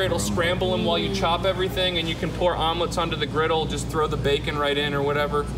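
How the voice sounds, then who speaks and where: Loud background noise competes with a man's voice. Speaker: in-store product demonstrator. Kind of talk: live infomercial-style product demonstration to a crowd. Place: shop.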